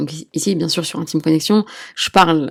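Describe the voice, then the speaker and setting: In an unremarkable speaking voice, a woman talks at a moderate pace with fairly low pitch and ordinary pitch variation, on a very clean recording with a silent background. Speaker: midwife and sex therapist podcast host. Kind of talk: solo podcast talk.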